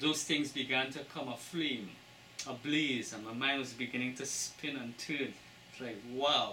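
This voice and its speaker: Over noticeable background noise and audible room echo, a man with a Trinidadian accent speaks at a medium pitch, a fairly slow pace and with fairly even intonation. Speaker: book author. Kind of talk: interview.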